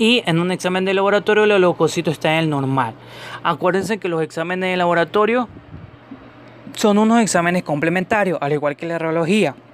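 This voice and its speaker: A man talks at a fairly quick pace with a high pitch and ordinary pitch variation. Noticeable background noise is present. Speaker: podcast host, medical professional. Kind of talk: educational podcast monologue. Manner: halting, stumbles over words.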